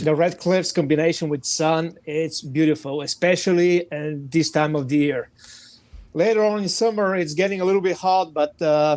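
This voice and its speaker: Here a man talks at a moderate pace in a fairly high pitch with ordinary pitch variation. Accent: Bulgarian. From Bulgaria. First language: Bulgarian. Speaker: firearms training director. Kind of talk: podcast interview.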